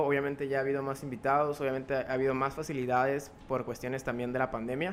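Music plays behind a man talking at a fairly quick pace. His pitch sits fairly high. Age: young. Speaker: podcaster and author. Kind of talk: interview. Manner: talkative.

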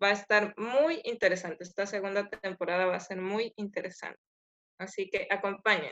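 Her bright, sharp tone sits at a medium pitch for a woman, with fairly even intonation. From Ecuador. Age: 20s. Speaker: podcast co-host, veterinarian. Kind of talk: casual self-introduction.

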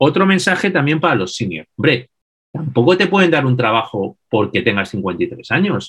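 A man speaks at a moderate pace with a fairly high pitch and vocal fry. His pitch swings very widely. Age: 50s. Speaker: business consultant and author. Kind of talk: interview.

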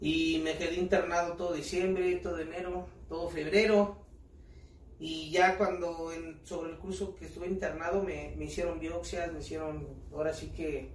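Audible room echo and noticeable background noise surround a man who talks at a moderate tempo. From Mexico, State of Mexico (Ecatepec). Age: 30s. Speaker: street performer, amputee footballer. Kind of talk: casual interview.

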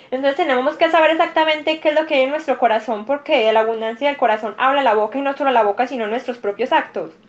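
A woman's high-pitched, very fast speech with hardly any pauses and ordinary pitch variation, over noticeable background noise. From Colombia, Medellín (paisa). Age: 20s. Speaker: law student and church youth leader. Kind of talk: interview conversation.

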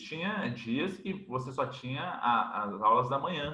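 This man speaks with pitch that swings up and down very widely. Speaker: physical education professor. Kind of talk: interview. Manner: animated.

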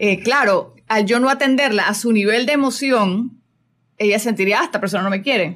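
In an unremarkable speaking voice, a woman talks at a moderate pace with fairly high pitch, ordinary pitch variation and very even loudness. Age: 40s. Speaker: spiritual coach and radio host. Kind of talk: casual chat. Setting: radio studio.

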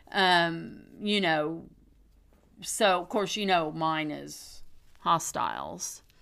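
Speaking at a very slow pace with long, frequent pauses, a woman is heard amid audible room echo. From Oklahoma. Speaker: podcast host. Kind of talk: casual chat.

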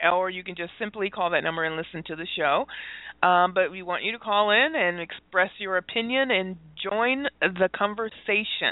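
Using a normal speaking voice, a woman speaks fairly slowly at a medium pitch with ordinary pitch variation. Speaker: radio host. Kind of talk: live call-in radio talk show.

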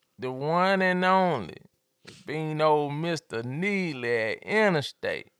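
Lively intonation marks this man's fairly high-pitched voice in an Atlanta accent. His pace is very slow. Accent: Southern US (Atlanta). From Atlanta, Georgia. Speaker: podcast host. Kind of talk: casual chat.

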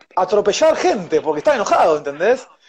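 A man's very fast speech in an Argentine accent, with very wide pitch swings. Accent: Rioplatense Argentine Spanish. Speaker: chef and baker. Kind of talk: interview. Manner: animated.

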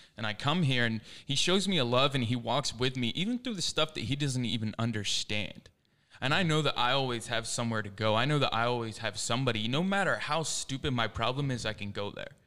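A man with an American accent talks at a fairly quick pace, his medium pitch rising and falling in an ordinary way. His tone is bright and sharp, and the recording is very clean with a silent background. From US Northeast, suburbs of Philadelphia. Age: 20s. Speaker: young guest from discipleship program. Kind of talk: casual chat. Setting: studio.

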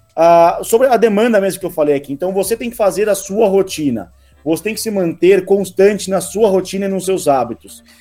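Over music in the background, a man speaks at a fairly quick pace with a high pitch and ordinary pitch variation. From interior of São Paulo state, Rio Claro. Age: 20s. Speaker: real estate sales director. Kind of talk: casual interview.

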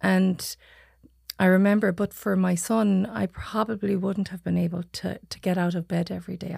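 A woman's somewhat breathy voice at medium pitch and moderate pace, monotone and flat, with a west of Ireland accent, on a very clean recording with a silent background. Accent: west of Ireland Irish. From Ireland, Achill Island, County Mayo. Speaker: psychotherapist. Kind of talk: casual chat. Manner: calm.

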